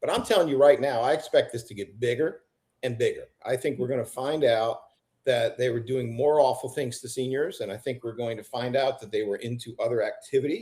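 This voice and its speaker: A somewhat breathy man talks at a fairly quick pace, with a medium pitch and ordinary pitch variation. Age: 60s. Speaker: district attorney. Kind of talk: interview.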